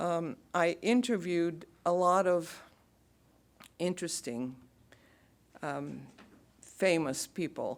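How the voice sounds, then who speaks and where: A woman speaks at a very slow pace. Her pitch is fairly low. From Bulgaria. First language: Bulgarian. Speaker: radio announcer. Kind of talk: lecture talk to audience.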